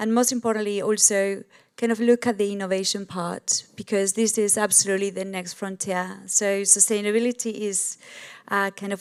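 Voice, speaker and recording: A woman with an Argentine accent talks at a moderate pace in a medium-pitched, monotone, flat voice. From Argentina. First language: Spanish. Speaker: sustainability business leader. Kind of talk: panel discussion. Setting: stage with audience.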